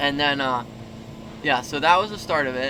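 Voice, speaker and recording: Noticeable noise runs in the background. The man talks at a moderate tempo. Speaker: motocross racer and vlogger. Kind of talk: casual vlog talk. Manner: quiet.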